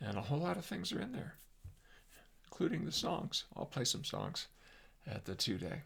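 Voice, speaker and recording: With an American accent, a man talks at a moderate pace in a fairly high pitch with vocal fry, very wide pitch swings and long, frequent pauses. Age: 70s. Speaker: psychologist and workshop presenter. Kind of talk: casual monologue. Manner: halting, many fillers; animated.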